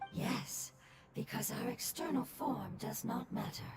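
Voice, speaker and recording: In a put-on character voice, someone whispers at a fairly slow pace over loud background noise. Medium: video game. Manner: soft, gentle.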